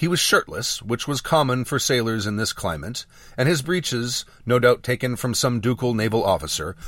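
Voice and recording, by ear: A natural voice reads aloud here. Its pitch shifts in an ordinary way.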